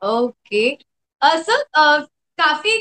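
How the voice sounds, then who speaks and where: A woman is speaking. Her tone is bright and sharp. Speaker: interviewer / show host. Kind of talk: interviewer introduction and questions.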